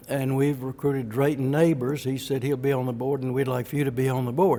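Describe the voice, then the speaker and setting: In an Alabama accent, a man speaks at a fairly high pitch. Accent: Southern US (Alabama). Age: 70s. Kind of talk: personal testimony talk.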